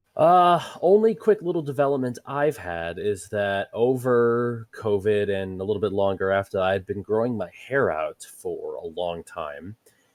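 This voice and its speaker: A man talks fairly slowly, with hardly any pauses. The sound is dry and close, with no echo. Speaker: podcast guest, gamer. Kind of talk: casual chat.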